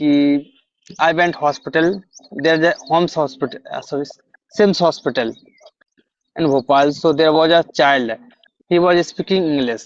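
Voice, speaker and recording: An Indian accent with long, frequent pauses. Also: man, fairly high pitch for a man, ordinary pitch variation, moderate pace. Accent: Indian English, Hindi-speaking. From India, Madhya Pradesh. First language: Hindi. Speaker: English learner. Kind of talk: interview. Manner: halting.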